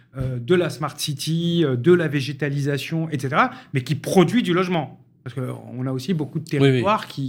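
A man's somewhat breathy, fairly high voice with ordinary pitch variation at a moderate pace. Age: 40s. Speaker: housing policy expert. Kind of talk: radio panel discussion.

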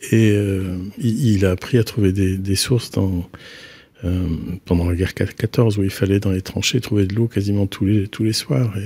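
Somewhat breathy and fairly low in pitch, a man's voice has a dark, mellow tone and fairly even intonation. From Brittany, north Finistère. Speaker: architect. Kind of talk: interview. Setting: studio. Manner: halting.

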